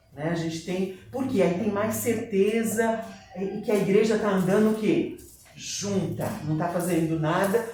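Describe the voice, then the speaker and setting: Over noticeable background noise and audible room echo, a man with a high voice talks at a fairly slow pace with lively intonation. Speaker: church teacher. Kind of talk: Bible class lecture. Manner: conversational, addressing the class.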